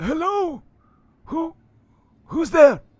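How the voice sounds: High and raspy, this put-on character voice stands out.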